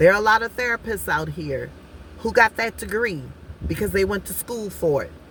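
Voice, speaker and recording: This is a woman's voice at a middling speed. Background noise is clearly audible behind her. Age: 50s. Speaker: life coach and vlogger. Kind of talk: casual vlog monologue. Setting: outdoors at the beach.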